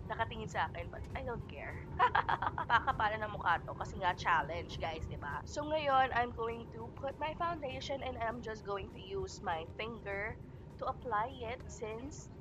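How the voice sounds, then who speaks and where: Music plays in the background as the speech moves at a moderate pace, with big swings in loudness and audible room echo. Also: woman. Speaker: beauty vlogger. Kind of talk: vlog tutorial. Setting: on a commuter train.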